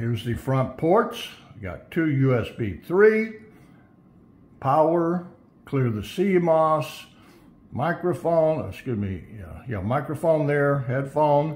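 Very slowly and somewhat breathily, a man talks with very wide pitch swings, big swings in loudness, and long, frequent pauses. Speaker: tech product reviewer. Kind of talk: product unboxing commentary. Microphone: phone near.

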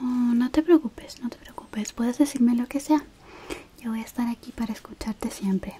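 A woman's high pitch at a fairly quick pace, with ordinary pitch variation, big swings in loudness and light background noise. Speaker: roleplay host. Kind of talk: soft spoken roleplay chat to viewer. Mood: warm, caring, gentle.

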